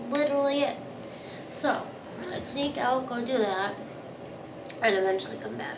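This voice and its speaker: Against audible room echo and noticeable background noise, a woman with a high pitch talks at a moderate pace with ordinary pitch variation and long, frequent pauses. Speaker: vlogger. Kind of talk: casual storytelling to camera. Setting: bathroom.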